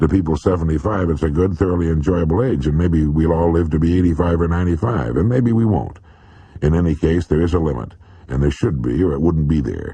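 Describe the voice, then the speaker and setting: Talking at a fairly quick pace, a man has a very deep, low pitch and a dark, mellow tone that is somewhat breathy. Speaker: motivational radio speaker. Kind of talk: motivational speech, addressing listener directly.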